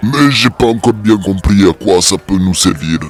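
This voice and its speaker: A man puts on a character voice, fairly low in pitch. He speaks at a moderate pace. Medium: audio drama. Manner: gruff, sardonic.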